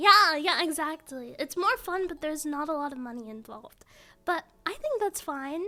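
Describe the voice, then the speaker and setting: Soft-spoken and bright, sharp in tone, a woman talks at a moderate pace with very wide pitch swings. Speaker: streamer. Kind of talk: casual chat. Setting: live stream. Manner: animated. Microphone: mic turned up, was too quiet.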